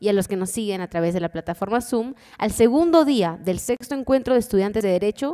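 A woman talks at a fairly quick pace with quiet behind her. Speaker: event host. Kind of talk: formal announcement. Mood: formal, calm. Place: hall. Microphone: podium.

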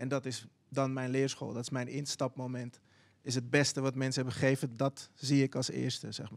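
Speaking at a moderate pace, a man keeps a monotone, flat intonation. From Netherlands, Zaanstad; Netherlands. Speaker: visual artist and children's book writer; podcast host. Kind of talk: casual panel discussion. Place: studio. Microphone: handheld.

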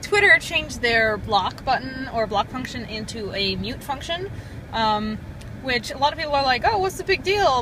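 A woman projects a raised voice at a moderate pace, her pitch swinging very widely. The sound is dry with no echo, and background noise is noticeable. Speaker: vlogger. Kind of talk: casual vlog chat. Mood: agitated, laughing, exasperated. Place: car. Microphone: phone near.

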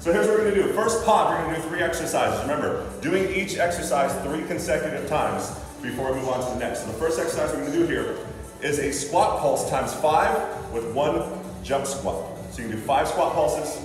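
A man rattles along at a very fast pace amid noticeable background noise and strong room echo. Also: ordinary pitch variation. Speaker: fitness trainer. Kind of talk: tutorial. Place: gym. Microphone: camera far.

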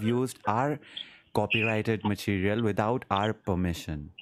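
At a moderate pace, a man with a fairly low pitch speaks with ordinary pitch variation over light background noise. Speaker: streamer doing a prank call. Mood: amused, laughing. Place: home room. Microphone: studio mic.

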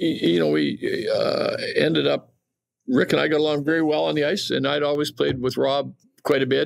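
A man with a Western Canadian accent. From Western Canada (Calgary, Alberta). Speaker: retired champion curler. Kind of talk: casual interview.

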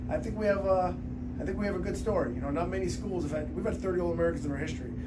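Loud noise fills the background while the man rattles off his words at a very fast pace. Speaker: wrestling coach. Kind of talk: interview answer. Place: office. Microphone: phone near.

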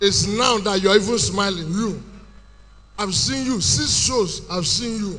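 A man talks, his pitch varying in an ordinary way. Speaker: stand-up comedian. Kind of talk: stand-up comedy routine. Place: stage. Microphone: handheld.

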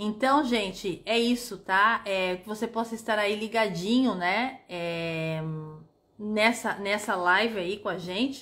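At a very slow pace, a woman speaks with a fairly high pitch and a bright, sharp tone. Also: ordinary pitch variation. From Brazil, São Paulo city. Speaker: tour guide. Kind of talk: casual livestream chat. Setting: livestream. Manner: animated. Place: home room. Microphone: phone near.

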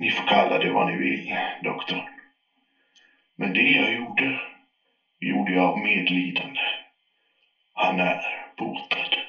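Using a put-on character voice, a man speaks with long, frequent pauses in a recording with a slight echo. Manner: defensive, increasingly unhinged.

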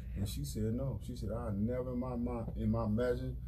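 Over noticeable background noise, a man with a very deep, low pitch speaks fairly quickly with lively intonation. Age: 40s. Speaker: radio show co-host. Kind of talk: casual radio talk show chat. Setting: radio studio. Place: studio. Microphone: studio mic.

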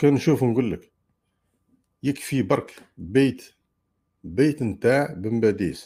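A man with a dark, mellow tone and ordinary pitch variation speaks at a fairly slow pace, with long, frequent pauses. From Algeria. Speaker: livestream host. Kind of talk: live stream commentary. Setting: live stream. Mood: argumentative, polemical. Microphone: earbuds.

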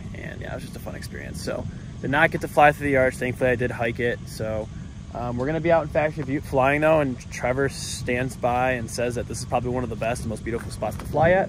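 Amid noticeable background noise, a man talks at a very fast pace with ordinary pitch variation in a dry sound with no echo. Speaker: paramotor pilot vlogger. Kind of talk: casual vlog chat. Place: open country. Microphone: phone near.

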